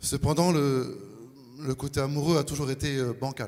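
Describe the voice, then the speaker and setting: Fairly even intonation in a man's fairly high-pitched voice. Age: 40s. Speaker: baptism candidate. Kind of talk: testimony. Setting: church.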